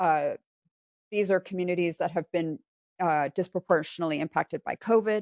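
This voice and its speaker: Using a plain, everyday voice, a woman speaks with a fairly low pitch at a fairly quick pace, her intonation fairly even. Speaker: resilience strategy consultant. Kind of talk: slide presentation.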